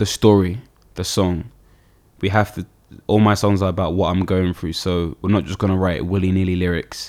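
A man with a London accent speaks at a moderate pace in a very deep, low voice. His intonation is flat and monotone, and the recording is very clean with a silent background. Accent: London, multicultural London English. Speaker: singer-songwriter and producer. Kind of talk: casual interview.

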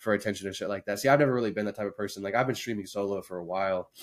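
A man with a Midwestern American accent on a very clean recording with a silent background. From Indiana. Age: 20s. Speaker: streamer and video editor. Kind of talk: casual chat.

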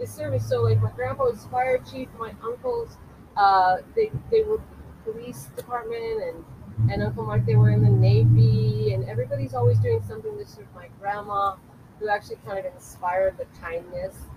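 At a moderate pace, a woman with an American accent speaks with big swings in loudness. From Culver City, California. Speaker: movement and dance practitioner. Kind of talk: casual interview. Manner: animated.

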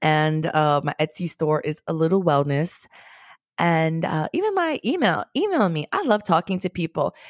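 An animated tone in a New York accent, at a moderate pace with ordinary pitch variation, in a very clean recording over a silent background. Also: woman, fairly low pitch for a woman, dry, close sound with no echo. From New York, the Bronx. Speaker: DJ and podcast producer. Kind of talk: interview.

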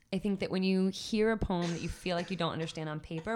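A woman speaks in an ordinary speaking voice at a fairly quick pace, her pitch fairly low with ordinary variation, on a very clean recording with a silent background. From Washington DC area. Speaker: spoken word poet. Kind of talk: interview conversation.

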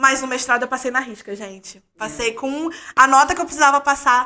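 A woman's raised, projected voice, high and bright and sharp, at a fairly quick pace with ordinary pitch variation. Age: 30s. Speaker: doctoral student in history of science. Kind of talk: casual chat.

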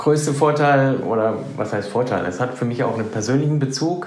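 Amid noticeable background noise and audible room echo, a man talks at a moderate pace in a medium pitch with ordinary pitch variation. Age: 40s. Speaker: private banker. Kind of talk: interview.

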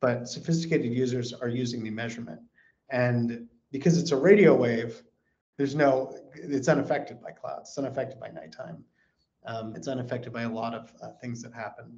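Somewhat breathy, a man with an American accent speaks at a fairly quick pace and medium pitch, with ordinary pitch variation and big swings in loudness. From California. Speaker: space company executive. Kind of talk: interview.

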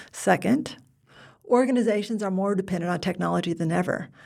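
On a very clean recording with a silent background, a woman with an American accent and vocal fry speaks at a fairly quick pace. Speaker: podcast host. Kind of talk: casual interview.

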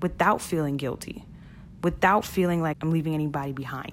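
In a Brooklyn accent, a woman speaks in an animated tone. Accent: New York (Brooklyn). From Brooklyn, New York (Flatbush). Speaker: podcast host, e-commerce entrepreneur. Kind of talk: solo podcast monologue.

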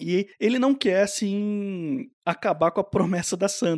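A man speaks with ordinary pitch variation. The sound is dry and close with no echo, and the recording is very clean against a silent background. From Brazil. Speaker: podcast host. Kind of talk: casual chat.

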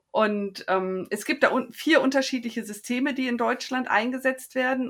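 A woman speaks in a normal speaking voice at a moderate pace, with ordinary pitch variation. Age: 50s. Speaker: endometriosis patient. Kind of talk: interview.

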